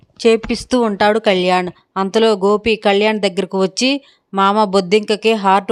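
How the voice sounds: A natural reading voice with fairly even intonation comes through against a quiet background.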